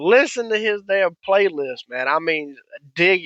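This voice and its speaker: Animated in tone, a man talks at a fairly slow pace with lively intonation. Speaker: podcast host. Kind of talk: casual monologue.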